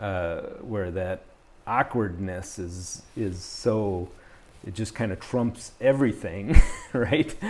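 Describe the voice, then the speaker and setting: A man's fairly low voice at a very slow pace, with long, frequent pauses, ordinary pitch variation, big swings in loudness and noticeable background noise. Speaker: podcast host. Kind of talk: interview. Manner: halting, many fillers.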